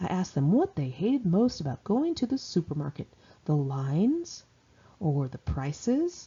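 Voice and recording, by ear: A woman speaks at a fairly low pitch with a dark, mellow tone. Her voice has a husky, rough edge and big pitch swings. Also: fairly slow pace.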